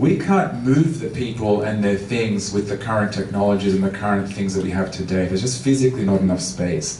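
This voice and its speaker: A man's fairly low voice at a fairly quick pace with hardly any pauses, ordinary pitch variation, audible room echo and noticeable background noise. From Australia, Melbourne. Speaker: transportation consultant. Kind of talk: public talk.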